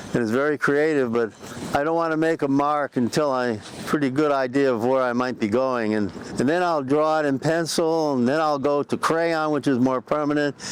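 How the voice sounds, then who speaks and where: Against noticeable background noise, a man speaks at a moderate pace with a fairly high pitch, ordinary pitch variation and very even loudness. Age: 80s+. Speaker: sculptor. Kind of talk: interview. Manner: halting.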